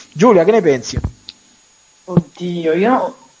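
Against noticeable background noise, a man speaks at a high pitch in an animated tone. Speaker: radio host. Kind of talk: casual chat. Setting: studio.

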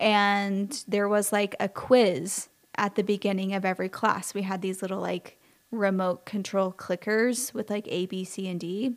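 A normal speaking voice, fairly even in intonation and fairly slow, in a very clean recording with a silent background. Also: woman, medium pitch for a woman. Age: 30s. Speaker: florist. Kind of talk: casual solo podcast monologue.

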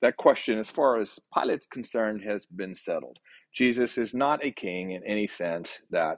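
The clip has an unforced reading voice. The background is quiet.

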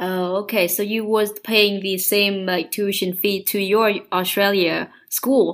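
With a Vietnamese accent, a woman speaks very slowly at medium pitch in a monotone, flat delivery, recorded very cleanly against a silent background. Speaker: podcast host. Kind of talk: interview.

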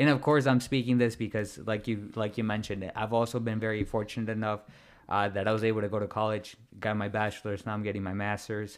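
On a very clean recording with a silent background, a man with a fairly low pitch talks at a very fast pace. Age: 20s. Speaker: podcast host. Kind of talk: casual interview. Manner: nervous, excited.

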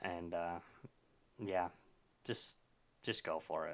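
A man speaks at a moderate pace. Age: 30s. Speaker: podcast host. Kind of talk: casual chat.

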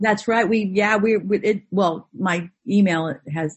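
A woman speaks with an American accent and a somewhat breathy quality. Her pitch moves in an ordinary way. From Orange County, California. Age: 50s. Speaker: actress. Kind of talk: casual chat. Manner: animated.

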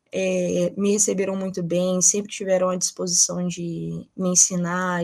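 In a fairly low pitch, a woman speaks at a fairly slow pace with monotone, flat intonation. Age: 20s. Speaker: nursing student and researcher. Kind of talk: interview.

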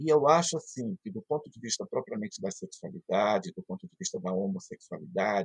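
Somewhat breathy, a man's voice makes very wide pitch swings in a dry, close sound with no echo. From Brazil, Pará (Marajó island). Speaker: philosophy professor. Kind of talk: interview.

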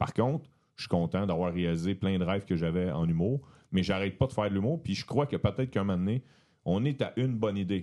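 The man's very deep, low voice moves fairly quickly, with pitch shifting in an ordinary way. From Quebec, Beauharnois near Montreal. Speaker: comedian and entrepreneur. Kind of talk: casual chat.

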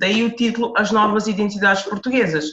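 A somewhat breathy woman at a medium pitch, talking at a moderate pace. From Portugal, Lisbon (Amadora). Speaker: author. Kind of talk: interview.

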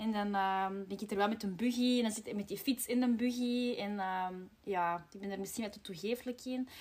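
Somewhat breathy and fairly high-pitched, a woman speaks at a fairly quick pace with fairly even intonation and big swings in loudness. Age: 30s. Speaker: podcast host, marketing employee. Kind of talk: casual chat.

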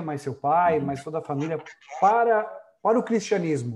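A man's dark, mellow voice at a fairly high pitch, lively intonation, quiet background. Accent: Brazilian. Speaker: online show host. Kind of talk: live-stream interview. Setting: live stream on Facebook.

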